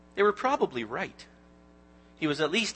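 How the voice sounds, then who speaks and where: Moderately paced male speech with very wide pitch swings. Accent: Canadian. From Canada, Ontario (Newmarket near Toronto). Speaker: lay preacher, Bible teacher. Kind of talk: sermon. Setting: church. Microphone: handheld microphone that kept cutting out.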